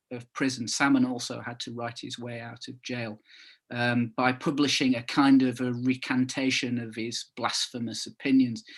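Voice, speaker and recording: Speaking at a moderate pace with a slight northern English accent, a man of medium pitch keeps his intonation fairly even over a quiet background. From northern England (Calder Valley, Todmorden area). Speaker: author. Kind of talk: book launch talk. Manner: halting, many fillers and repetitions.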